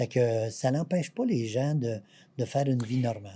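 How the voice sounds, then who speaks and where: A man with a Quebec accent, medium pitch and a dark, mellow tone, somewhat breathy, at a fairly slow pace with ordinary pitch variation, on a very clean recording with a silent background. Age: 70s. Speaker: patient association president. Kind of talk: interview.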